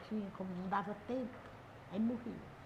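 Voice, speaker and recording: Room echo is audible. There is noticeable background noise as well. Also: woman. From Brazil, Ceará (Guaiúba). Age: 70s. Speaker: local community figure. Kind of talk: interview.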